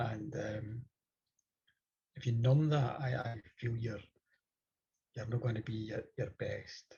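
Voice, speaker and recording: A man with a Scottish accent, somewhat breathy, at a very slow pace with fairly even intonation and long, frequent pauses. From Scotland. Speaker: storyteller. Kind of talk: interview.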